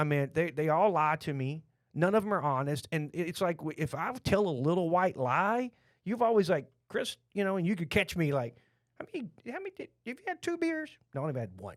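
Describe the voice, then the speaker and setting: In a Texan accent, a man with a high pitch talks at a fairly quick pace, with an animated tone and lively intonation. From Texas. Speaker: podcast host, restaurant franchise owner. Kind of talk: casual chat. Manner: repetitive, stammering.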